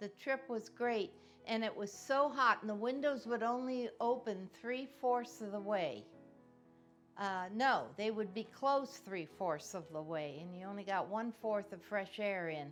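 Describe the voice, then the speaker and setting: A woman speaks with a Midwestern American accent at a fairly slow pace, music playing in the background. Her fairly high voice carries lively intonation. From Cincinnati, Ohio. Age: 80s+. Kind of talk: oral history interview answer.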